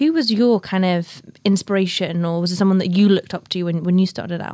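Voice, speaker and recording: A woman with a northern English accent and ordinary pitch variation, in a very clean recording with a silent background. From northern England. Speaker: podcast host. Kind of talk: interview.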